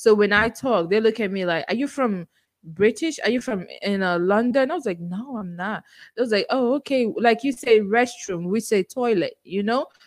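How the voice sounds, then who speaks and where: A woman speaks in a Nigerian accent, her fairly high voice carrying lively intonation. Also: moderate pace. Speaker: podcaster guest. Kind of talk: casual interview chat.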